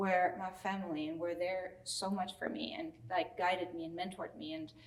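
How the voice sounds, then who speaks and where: A woman speaks at a moderate pace with a strong German accent. Her intonation is lively. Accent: thick German. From Germany. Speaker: celebrity stylist. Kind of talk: interview. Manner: casual, many fillers.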